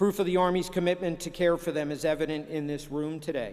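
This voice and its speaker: A man with an American accent talks at a fairly quick pace in a fairly high pitch. He has an ordinary speaking voice with fairly even intonation. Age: 60s. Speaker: senior army officer and lawyer. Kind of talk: commencement speech. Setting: ceremony with live audience. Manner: formal.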